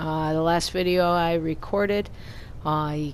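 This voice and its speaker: A woman speaks in a Brooklyn accent at a very slow pace. Her pitch is fairly low. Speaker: gaming YouTuber. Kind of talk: gameplay commentary.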